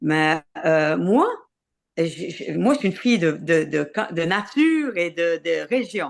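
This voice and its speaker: Speaking very slowly with long, frequent pauses, a woman uses a fairly low pitch and lively intonation. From Quebec, Côte-Nord (Havre-Saint-Pierre). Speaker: singer-songwriter and tour producer. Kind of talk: interview. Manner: halting, many hesitations and repetitions.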